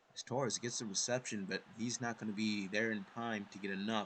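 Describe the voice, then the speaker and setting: A man speaks quietly at a medium pitch. His intonation stays fairly even. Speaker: video game commentator. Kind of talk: live commentary. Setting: home recording at night. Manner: quiet, kept down.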